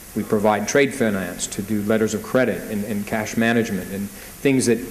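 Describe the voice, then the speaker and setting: A man with an American accent, monotone and flat, at a fairly quick pace, amid audible room echo and noticeable background noise. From United States. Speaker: banker, panel speaker. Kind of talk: panel talk at business conference.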